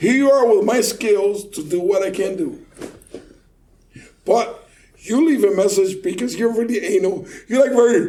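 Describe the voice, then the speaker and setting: A man with a dark, mellow tone speaks with a Puerto Rican accent and lively intonation. His pace is moderate, and the room echo is audible. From Puerto Rico. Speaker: car audio installer. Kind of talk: casual chat. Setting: studio, recorded in person. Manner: animated.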